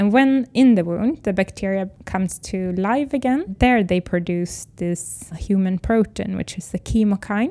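A woman with a Swedish accent speaks at a fairly slow pace, her voice medium in pitch. Her tone is dark and mellow, with ordinary pitch variation. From Sweden. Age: 30s. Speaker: biotech company founder. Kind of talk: interview.

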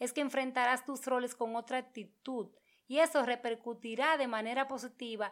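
Her voice is high-pitched. The woman keeps her intonation fairly even. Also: very clean recording, silent background. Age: 30s. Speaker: podcast host. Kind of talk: monologue.

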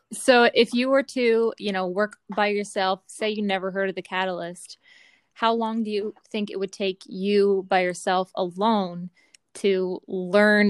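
A woman speaks in a plain, everyday voice at a medium pitch with ordinary pitch variation, the sound dry and close with no echo. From Eastern Canada, Newfoundland. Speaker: program host, military family member. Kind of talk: casual chat.

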